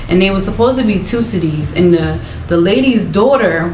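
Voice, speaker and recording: Music plays in the background as a speaker with an American accent talks at a fairly quick pace, with an animated tone, ordinary pitch variation and audible room echo. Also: woman. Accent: American accent noticed by Ghanaians. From US, Philadelphia. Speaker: vlogger. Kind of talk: casual chat.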